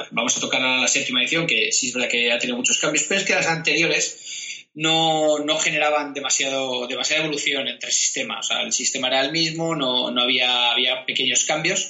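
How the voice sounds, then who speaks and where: A man's fairly high, fairly quick voice with very even loudness, hardly any pauses and ordinary pitch variation, over noticeable background noise. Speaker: tabletop roleplaying podcast co-host. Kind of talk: casual chat. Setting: video recording.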